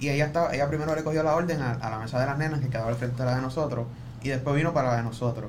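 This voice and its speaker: Over noticeable background noise and audible room echo, a man talks at a very fast pace. His pitch is fairly high and his intonation fairly even. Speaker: podcast production crew member. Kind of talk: casual chat.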